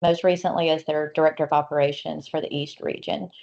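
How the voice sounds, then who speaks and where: This woman has a very deep, low voice. She speaks with a Southern US accent. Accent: Southern US (South Georgia). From US South, South Georgia. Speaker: new board member, energy consultant. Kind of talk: self-introduction in virtual meeting.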